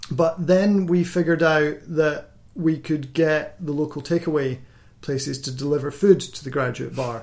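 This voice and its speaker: Somewhat breathy and fairly high in pitch, a man speaks in a Scottish accent at a moderate pace with fairly even intonation. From Scotland. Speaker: doctor and podcast host. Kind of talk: casual chat.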